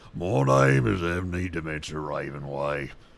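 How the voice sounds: A man puts on a character voice, pitched very deep and low, speaking at a moderate pace.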